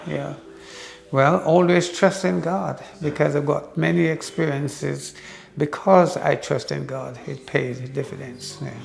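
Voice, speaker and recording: Music plays in the background as a man speaks at a fairly slow pace. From Jamaica. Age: 80s+. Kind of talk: interview answer.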